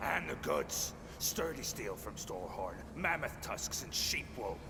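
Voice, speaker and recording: A man puts on a character voice at a fairly slow pace, with loud background noise around him. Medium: video game.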